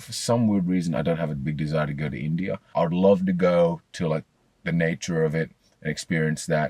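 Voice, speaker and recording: Dry and close with no echo, the recording catches a man with an Australian accent speaking fairly quickly at a very deep, low pitch. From Australia (Sydney, Blacktown). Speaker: psychology student. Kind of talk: interview answer. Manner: casual, hesitant.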